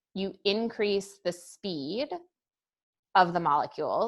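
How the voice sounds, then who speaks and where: This woman speaks at a medium pitch. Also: quiet background. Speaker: high school chemistry teacher. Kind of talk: lecture. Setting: recorded class session. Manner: casual.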